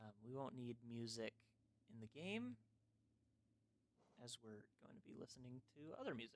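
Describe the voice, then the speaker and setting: Quiet speech at a moderate pace, with long, frequent pauses. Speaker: gaming streamer. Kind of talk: casual livestream chat. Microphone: mic too quiet.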